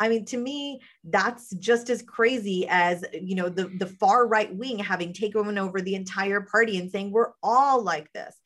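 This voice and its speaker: With an ordinary speaking voice, a woman of medium pitch keeps a moderate pace, ordinary pitch variation and hardly any pauses. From rural southern West Virginia. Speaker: political strategist. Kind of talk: casual political discussion.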